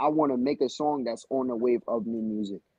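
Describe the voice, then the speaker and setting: The man's speech moves at an even, middling speed. He talks in a New York accent. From Newburgh, New York. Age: 18. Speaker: rapper. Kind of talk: casual interview.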